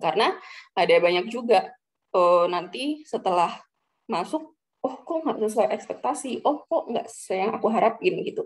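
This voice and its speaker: Her pitch is fairly high, swinging very widely up and down. The woman keeps a moderate pace. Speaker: central bank employee sharing recruitment tips. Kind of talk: casual talk to students. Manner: casual with many fillers.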